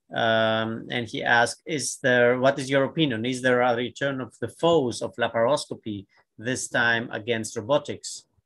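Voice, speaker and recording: Against a quiet background, a man speaks at a moderate pace with fairly even intonation and hardly any pauses. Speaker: surgeon, panel co-chair; panel co-chair. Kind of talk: moderated panel discussion. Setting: video call. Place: home room. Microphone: webcam.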